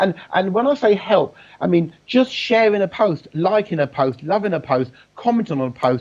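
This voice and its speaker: A loud, animated man's voice, high-pitched with very wide pitch swings, at a moderate pace. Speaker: business networking expert. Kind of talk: casual interview chat. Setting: live video call.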